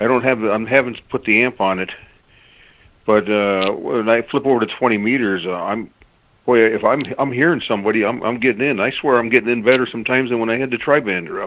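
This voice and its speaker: At a very fast pace, a man with an Upper Michigan accent talks at medium pitch with fairly even intonation. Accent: Yooper. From Upper Peninsula of Michigan. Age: old. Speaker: caller. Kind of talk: casual chat. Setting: phone call. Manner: halting.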